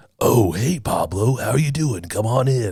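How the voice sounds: Putting on a character voice, a man speaks at medium pitch and a moderate pace with lively intonation.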